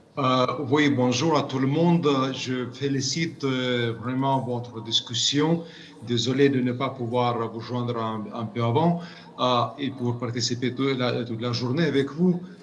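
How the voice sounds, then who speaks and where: The speaker talks at a fairly slow pace with fairly even intonation and a non-native accent. Noticeable background noise and audible room echo are present. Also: man, medium pitch for a man. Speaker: UN committee expert. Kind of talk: interview. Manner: halting, many repetitions.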